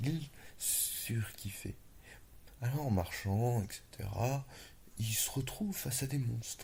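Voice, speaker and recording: A man's somewhat breathy whisper at a very slow pace, broken by long, frequent pauses. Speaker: ASMR storyteller. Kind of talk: improvised whispered fantasy story. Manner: whispered, low voice.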